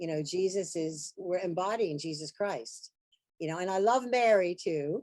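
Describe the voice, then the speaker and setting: Using a normal speaking voice, a woman talks at a moderate pace in a medium pitch with lively intonation. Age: 60s. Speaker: author. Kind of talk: interview.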